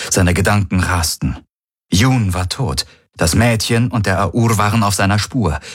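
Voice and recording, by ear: Over a quiet background, a passage is read aloud in a natural voice, its pitch showing ordinary variation.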